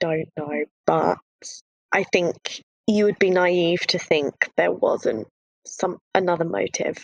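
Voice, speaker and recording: A woman speaks at a very slow pace, leaving long, frequent pauses. The sound is dry and close, with no echo. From UK. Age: 30s. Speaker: guest sharing expat dating experience. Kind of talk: casual chat. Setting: video call.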